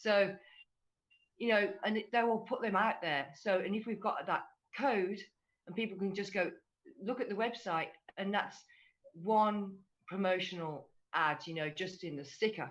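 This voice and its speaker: Speaking with an English accent, a woman uses a medium pitch, ordinary pitch variation and a moderate pace. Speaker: fan community ambassador. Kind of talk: casual group discussion on livestream.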